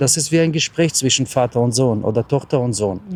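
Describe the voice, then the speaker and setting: A man speaks at a medium pitch and a fairly quick pace, his dark, mellow tone carrying ordinary pitch variation. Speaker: travel vlogger and lay preacher. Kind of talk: short sermon and blessing.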